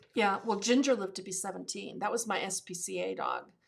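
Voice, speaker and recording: A woman with an American accent talks at a moderate pace. Her voice has vocal fry. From Massachusetts. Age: 60s. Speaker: podcast guest, host's mother. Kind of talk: casual chat.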